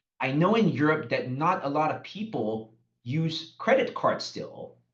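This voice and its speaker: A man with a fairly high pitch and very wide pitch swings, at a fairly slow pace, with audible room echo. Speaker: company marketing executive. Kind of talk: business webinar presentation. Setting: online webinar. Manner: deliberately slowed pace.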